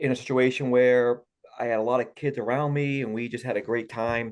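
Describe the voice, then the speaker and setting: Medium-pitched man with a Boston accent, fairly quick, fairly even in intonation, over a quiet background. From Massachusetts, Boston area. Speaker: golf coach. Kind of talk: interview. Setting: podcast.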